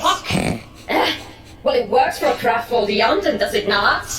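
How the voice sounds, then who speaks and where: Over clear background noise and a slight echo, a cartoonish character voice speaks at a fairly high pitch. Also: moderate pace. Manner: dismissive, blasé.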